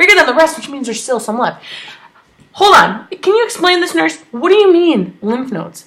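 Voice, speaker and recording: A woman's extremely high, animated voice, with very wide pitch swings and big swings in loudness. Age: 30s. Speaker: cancer survivor vlogger. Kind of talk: personal vlog update. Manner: fast.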